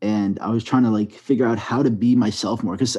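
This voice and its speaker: A man speaks with a strong New York accent at a medium pitch. His tone is dark and mellow, and his intonation fairly even. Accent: thick New York. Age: 20s. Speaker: storytime animator YouTuber. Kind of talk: podcast interview.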